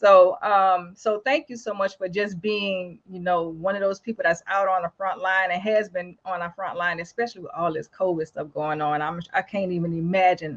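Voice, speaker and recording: Hardly pausing at all, a woman talks at a moderate pace. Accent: New Orleans. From New Orleans, Louisiana. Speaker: talk show host. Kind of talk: casual interview. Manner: animated.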